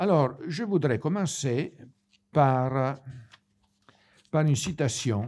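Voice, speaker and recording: In an Italian accent, a man with a dark, mellow tone speaks at a very slow pace on a very clean recording with a silent background. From Italy. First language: Italian (speaking French). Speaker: priest. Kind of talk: lecture. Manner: halting.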